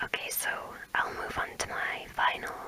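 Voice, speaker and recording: Whispering over noticeable background noise. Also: woman. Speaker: ASMR creator. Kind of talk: ASMR whisper video. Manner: whispered.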